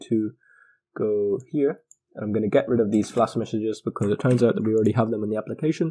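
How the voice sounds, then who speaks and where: Over a quiet background, the speaker talks at a very fast pace. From Ireland. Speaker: programming tutor. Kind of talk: tutorial.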